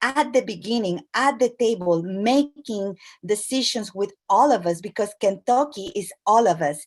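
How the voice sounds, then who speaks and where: At a moderate pace, a woman with a fairly high pitch speaks with lively intonation. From Latin America. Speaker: immigrant community organization leader. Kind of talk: speech at an online event. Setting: video call. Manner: halting, with frequent fillers.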